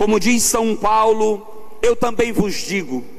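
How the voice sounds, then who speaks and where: A man speaks in a high voice. Noticeable background noise and audible room echo come through. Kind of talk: sermon. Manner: loud.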